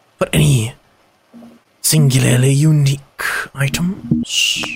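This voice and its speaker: A put-on character voice sits at a low-to-middle pitch. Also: fairly slow pace. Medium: actual play. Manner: formal, precise, measured.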